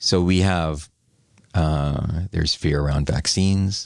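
With a Canadian accent, a man speaks at a fairly slow pace in a very deep, low pitch and fairly even intonation. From western Canada. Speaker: urban planning consultant. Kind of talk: interview.

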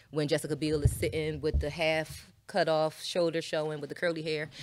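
A woman with an American accent speaks at a very deep, low pitch. The recording is very clean, with a silent background. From Philadelphia, US. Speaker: former adult entertainer, podcast co-host. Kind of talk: casual interview chat. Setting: studio.

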